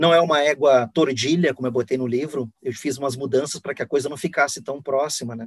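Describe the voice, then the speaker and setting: This man has an ordinary speaking voice at medium pitch, with fairly even intonation and a fairly quick pace, recorded with a dry, close sound and no echo. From Rio Grande do Sul, Brazil (Guaíba). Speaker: novelist. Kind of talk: interview.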